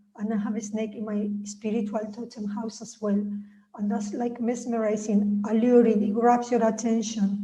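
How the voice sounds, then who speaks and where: Monotone, flat speech with big swings in loudness, audible room echo and noticeable background noise. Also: woman, fairly high pitch for a woman, moderate pace. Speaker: author and spiritual healer. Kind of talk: reading aloud. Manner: droning.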